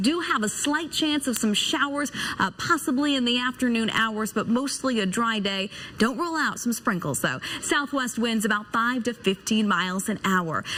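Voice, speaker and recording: Noticeable background noise sits behind a woman with a high pitch and lively intonation. She keeps a moderate pace and a very even loudness. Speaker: weather anchor and reporter. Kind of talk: TV weather forecast. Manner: polished, upbeat, broadcast delivery.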